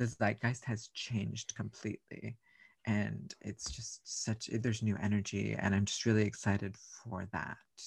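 Speaking at a moderate pace with an American accent, a man has a fairly low pitch, vocal fry and fairly even intonation. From South Texas. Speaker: drag performer. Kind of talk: casual chat.

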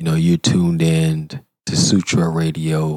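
A man's put-on character voice, very deep and low in pitch, monotone and flat, at a moderate pace. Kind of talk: radio DJ, smooth, low. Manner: suave, mock-seductive.

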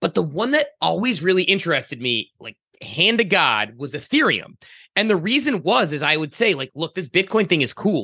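A man's high-pitched voice at a moderate pace, with very wide pitch swings, a dry, close sound with no echo, and a quiet background. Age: 30s. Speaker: podcast co-host. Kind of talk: casual chat.

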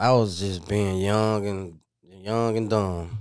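A man with an American accent speaks in a fairly low, flat monotone, recorded very cleanly against a silent background. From US South, Memphis area (Whitehaven). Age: 20s. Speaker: former prisoner turned college student. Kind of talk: interview.

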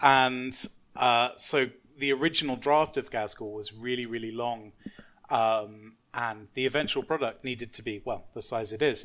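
Here a man speaks with a London accent at a medium pitch. His pace is moderate and his intonation fairly even. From South East London, England. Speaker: novelist. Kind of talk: casual chat.

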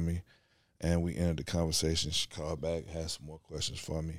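A man talks at a very fast pace in a very deep, low voice. The recording is very clean, with a silent background. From Chicago, US. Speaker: podcast guest, business part-owner. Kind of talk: casual chat.

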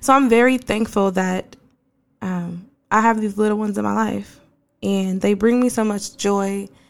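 Speaking with an American accent, a woman has an unremarkable speaking voice, medium in pitch, at a moderate pace with fairly even intonation. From Portland, Oregon. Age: adult. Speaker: podcast host. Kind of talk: casual podcast monologue.

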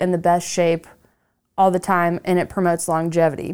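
A woman's ordinary speaking voice at medium pitch, moderate pace, very clean recording with a silent background. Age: 30s. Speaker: podcast host. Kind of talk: casual chat. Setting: studio.

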